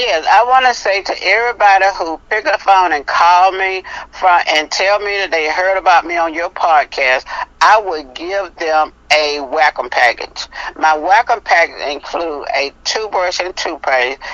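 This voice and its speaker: A normal speaking voice at a fairly slow pace, with lively intonation. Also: woman, fairly low pitch for a woman. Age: 60s. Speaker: health product seller. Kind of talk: interview. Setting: podcast.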